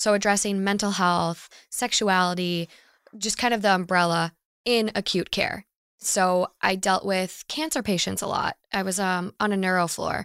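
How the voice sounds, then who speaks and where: The speaker has an unremarkable speaking voice with an American accent and fairly even intonation, at a moderate pace. The sound is dry and close, with no echo. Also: woman, medium pitch for a woman, very clean recording, silent background. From Minnesota. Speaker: podcaster. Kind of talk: casual chat.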